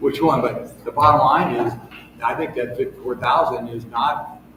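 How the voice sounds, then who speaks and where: Noticeable background noise and audible room echo surround speech with ordinary pitch variation at a moderate pace. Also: man. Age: 70s. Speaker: city council member. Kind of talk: public meeting discussion. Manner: halting.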